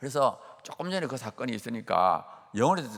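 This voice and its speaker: A man speaks with very wide pitch swings. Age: 60s. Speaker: professor and guest preacher. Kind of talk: sermon with personal testimony. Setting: church dawn service. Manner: animated.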